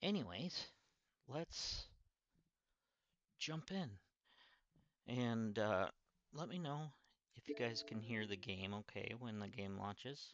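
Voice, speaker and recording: A man speaks at a very slow pace with long, frequent pauses. His pitch swings very widely. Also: medium pitch for a man. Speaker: gaming streamer. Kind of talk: live gameplay stream chat. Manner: quieter than usual, subdued.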